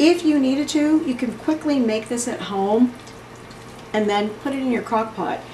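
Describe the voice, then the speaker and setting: Lively intonation comes through amid noticeable background noise and audible room echo. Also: woman. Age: 60s. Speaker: retired teacher, cooking channel host. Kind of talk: cooking tutorial. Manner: casual, chatty.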